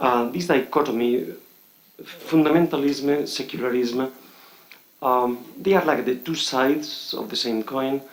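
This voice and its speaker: With a Spanish accent, a man speaks at a moderate pace in a fairly high voice, with ordinary pitch variation and audible room echo. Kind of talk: conference speech. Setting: conference hall with audience. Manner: halting, many fillers.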